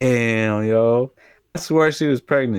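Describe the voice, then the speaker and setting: This man has an ordinary speaking voice at a medium pitch, with ordinary pitch variation and a moderate pace, recorded with a dry, close sound and no echo. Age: 20s. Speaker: podcast co-host. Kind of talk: casual chat.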